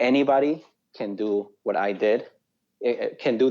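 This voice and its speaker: A man with a South American Spanish accent. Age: young. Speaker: real estate investor. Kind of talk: interview.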